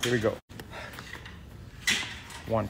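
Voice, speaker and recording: A man speaks over noticeable background noise. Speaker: trainer coaching a workout. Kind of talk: workout coaching and rep counting. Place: gym. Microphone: phone near.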